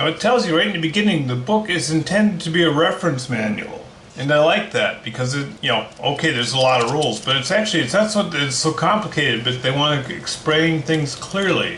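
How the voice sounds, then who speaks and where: With a Minnesotan accent and a fairly high pitch, a man talks at a fairly quick pace with lively intonation, amid noticeable background noise and audible room echo. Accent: Minnesota. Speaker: board game reviewer. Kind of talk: unboxing video.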